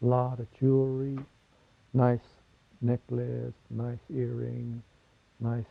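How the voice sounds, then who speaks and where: Speaking at a very slow pace, a man leaves long, frequent pauses. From Navajo Nation, US Southwest. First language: Navajo. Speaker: interviewee. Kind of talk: interview testimony.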